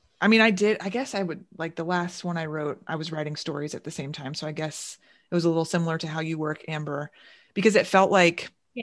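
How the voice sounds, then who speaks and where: A woman with a fairly low pitch at a very fast pace, with big swings in loudness and ordinary pitch variation. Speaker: podcast host. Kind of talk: casual chat. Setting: recorded remotely, home basement.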